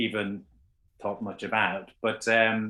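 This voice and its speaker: A man with an Irish accent, fairly low in pitch, at a moderate pace over a quiet background. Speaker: trance medium. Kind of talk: casual chat.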